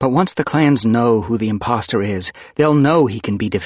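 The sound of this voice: An unforced reading voice fills the recording.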